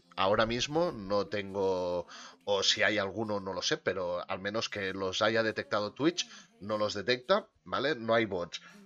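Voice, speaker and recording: This man's tone is bright and sharp. He talks at a fairly slow pace. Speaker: podcast host and streamer. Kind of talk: casual chat. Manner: quieter than usual.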